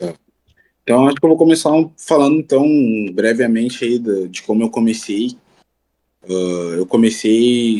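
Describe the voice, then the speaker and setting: A man with a dark, mellow tone speaks at a medium pitch and a fairly slow pace. His pitch varies in an ordinary way, and he takes long, frequent pauses. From Rio Grande do Sul, Brazil. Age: 20s. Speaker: rapper. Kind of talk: interview.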